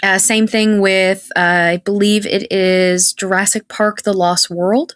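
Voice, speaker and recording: Speaking very slowly in a medium-pitched, monotone voice, a woman keeps her loudness very even, and the sound is dry and close with no echo. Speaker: actress. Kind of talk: casual chat. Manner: halting.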